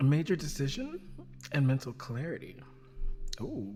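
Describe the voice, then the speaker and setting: A soft-spoken voice talking at a moderate pace. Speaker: astrology and intuition podcast host. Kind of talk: casual astrology forecast monologue. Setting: at home at night. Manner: quiet, soft; hesitant, many fillers.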